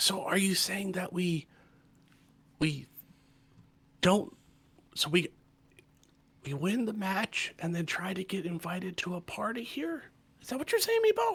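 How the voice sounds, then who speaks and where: A raspy, put-on character voice at a middle pitch and moderate pace, with long, frequent pauses. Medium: actual play. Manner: hesitant, wry.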